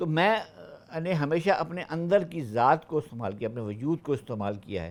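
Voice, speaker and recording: The voice swings very widely in pitch and runs on with hardly any pauses. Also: man, fairly high pitch for a man. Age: 60s. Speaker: retired senior civil servant. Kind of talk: podcast interview. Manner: halting.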